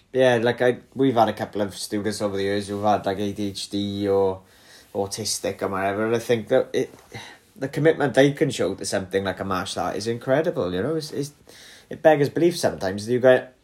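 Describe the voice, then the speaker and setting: A man with a northern English accent talks at a fairly quick pace. His fairly low voice carries lively intonation. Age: 30s. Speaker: podcast host and martial arts instructor. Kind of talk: casual interview.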